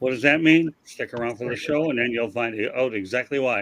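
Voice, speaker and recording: Speaking in a plain, everyday voice, a man holds a medium pitch with ordinary pitch variation. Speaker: podcast host.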